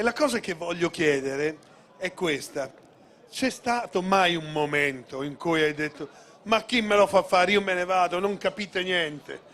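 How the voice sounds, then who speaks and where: Long pauses come often in this fairly slow speech, which has ordinary pitch variation. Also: man. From Modena, Emilia-Romagna. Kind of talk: on-stage interview at gala.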